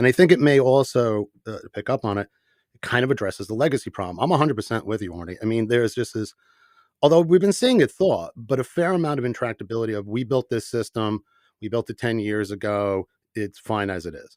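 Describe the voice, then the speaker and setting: Talking at a very fast pace with lively intonation and big swings in loudness, a man of medium pitch is heard on a very clean, dry, close recording with no echo and a silent background. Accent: New York. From New York, the Bronx. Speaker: company CEO, podcast host. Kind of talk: panel podcast discussion.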